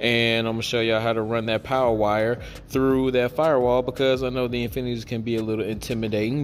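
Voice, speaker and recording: A man with fairly even intonation over light background noise. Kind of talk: tutorial. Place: garage. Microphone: phone near.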